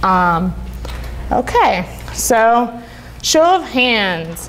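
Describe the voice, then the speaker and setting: There is audible room echo and noticeable background noise as a woman talks at a fairly high pitch with very wide pitch swings. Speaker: conference speaker, UX designer. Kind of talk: conference talk. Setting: stage with audience. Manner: casual, filler-heavy.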